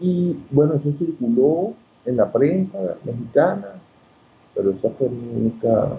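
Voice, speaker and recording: The delivery is fairly slow, broken by long, frequent pauses. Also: man, fairly high pitch for a man, lively intonation. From Venezuela, Coro (Falcón state). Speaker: ophthalmologist and historian. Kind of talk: interview.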